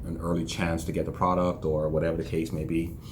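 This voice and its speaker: A man speaks at a fairly quick pace in a very deep, low voice. His intonation is monotone and flat, with audible room echo around him. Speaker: entrepreneur vlogger. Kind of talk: casual vlog monologue. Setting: office. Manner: reserved, low-energy.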